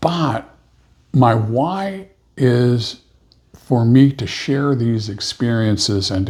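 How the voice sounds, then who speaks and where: A somewhat breathy male voice at medium pitch, ordinary pitch variation, very clean recording and silent background. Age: 70s. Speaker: podcast co-host. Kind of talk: casual chat.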